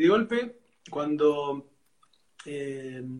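The speaker has an Argentine accent and lively intonation. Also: man. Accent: Argentine Spanish (rioplatense voseo). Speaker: physician and gastroenterologist, host. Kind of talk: live interview.

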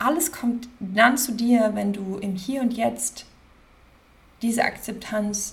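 A woman's fairly high voice at a very slow pace with ordinary pitch variation, plus audible room echo and noticeable background noise. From Germany, Cologne area (Rhineland). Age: 30s. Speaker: podcast host, life coach. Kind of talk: casual monologue. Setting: at her desk.

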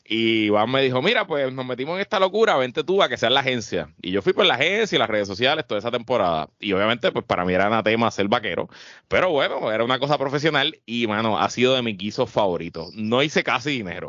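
This man speaks very fast, with hardly any pauses. His pitch swings very widely. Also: medium pitch for a man. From Puerto Rico, Guaynabo. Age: 30s. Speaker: podcast co-host. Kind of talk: casual chat.

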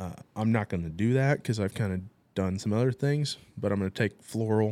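Over a very clean recording with a silent background, a man with an American accent talks at a moderate pace. His fairly low voice has a dark, mellow tone. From US Midwest, southern Illinois. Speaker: widowed father. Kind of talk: testimony.

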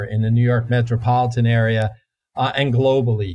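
A man talks at a fairly quick pace in a somewhat breathy, medium-pitched voice with ordinary pitch variation. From New Jersey. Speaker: climatologist, professor. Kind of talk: interview.

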